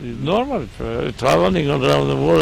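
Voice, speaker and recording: A man with very wide pitch swings at a moderate pace, amid noticeable background noise. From Serbia. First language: Serbian. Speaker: football coach. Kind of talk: interview. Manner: halting.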